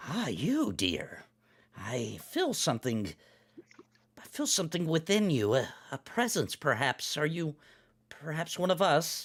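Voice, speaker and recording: A man's croaky, put-on character voice, fairly high in pitch, at a fairly slow pace with long, frequent pauses. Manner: eerie, probing.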